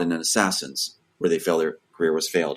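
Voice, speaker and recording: A man in an animated tone at a very fast pace. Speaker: screenwriter. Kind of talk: interview.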